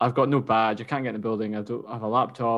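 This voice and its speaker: Against a quiet background, a man with a Scottish accent speaks at a very fast pace. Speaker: running podcast co-host. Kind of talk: casual chat. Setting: remote call.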